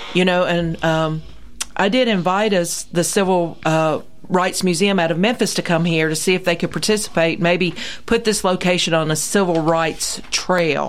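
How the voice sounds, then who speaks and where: Keeping her loudness very even, a woman with a fairly low pitch and a plain, everyday voice speaks with fairly even intonation. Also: moderate pace. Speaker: regular radio guest. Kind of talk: casual chat. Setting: studio.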